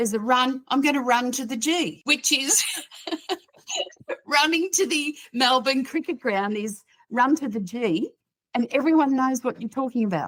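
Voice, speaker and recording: With an Australian accent, a high-pitched woman speaks at a moderate pace with lively intonation and long, frequent pauses. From Australia, New South Wales. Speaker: psychotherapist and author. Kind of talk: casual chat. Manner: animated.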